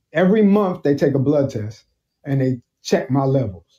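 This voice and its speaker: A man with a New York accent speaks at a moderate pace, his pitch fairly high. His tone is dark and mellow, and somewhat breathy. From Brooklyn, New York. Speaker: military veteran and cancer survivor. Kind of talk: casual interview.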